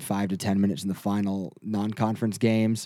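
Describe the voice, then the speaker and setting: A man with an American accent and a fairly low pitch talks at a moderate pace in a dark, mellow tone with fairly even intonation, captured in a very clean recording with a silent background. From Michigan. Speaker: sportswriter. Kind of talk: casual chat.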